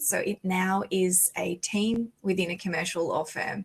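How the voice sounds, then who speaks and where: Speaking in an Australian accent, a woman uses a medium pitch with ordinary pitch variation. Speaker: lawyer, conference panelist. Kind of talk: conference panel talk.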